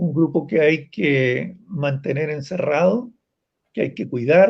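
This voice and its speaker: A fairly high-pitched man talks at a very slow pace. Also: ordinary pitch variation. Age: 70s. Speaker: psychologist and advocate for older blind people. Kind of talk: interview.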